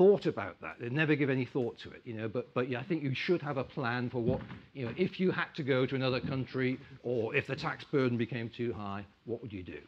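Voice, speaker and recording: In an ordinary speaking voice, a man talks at a fairly quick pace with big swings in loudness. His pitch is medium, with ordinary pitch variation. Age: 60s. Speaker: investment club chairman. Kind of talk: conference talk.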